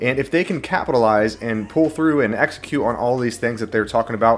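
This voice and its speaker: A man's pitch shifts in an ordinary way while he talks fairly quickly. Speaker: NFT and crypto YouTuber. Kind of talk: casual video commentary. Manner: fast; animated.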